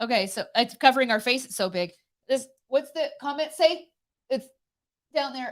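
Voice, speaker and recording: A woman with a high pitch speaks at a moderate pace, with big swings in loudness and long, frequent pauses. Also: lively intonation. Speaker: co-host of a live morning show. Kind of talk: casual live-stream chat.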